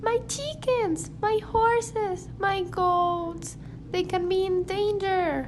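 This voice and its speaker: Using a put-on character voice, a woman speaks very slowly at an extremely high, squeaky pitch with very even loudness. Clear background noise is present. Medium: audio drama. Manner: anxious, earnest.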